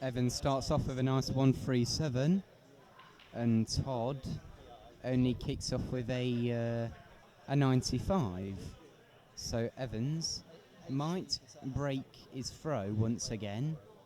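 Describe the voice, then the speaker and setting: Speaking at a very slow pace, a man with a dark, mellow tone leaves long, frequent pauses. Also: medium pitch for a man, ordinary pitch variation. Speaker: darts commentator. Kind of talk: live commentary. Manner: loud.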